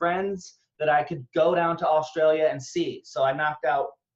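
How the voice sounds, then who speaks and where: A man with an American accent talks at a moderate pace, his fairly high pitch held in a fairly even intonation. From Northeast Texas. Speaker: online business recruiter. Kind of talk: webinar presentation. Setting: video call webinar.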